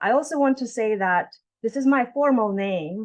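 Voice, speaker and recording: Speaking with a non-native accent, a woman uses lively intonation at a fairly high pitch against a quiet background. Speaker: professor. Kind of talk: keynote lecture. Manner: fast.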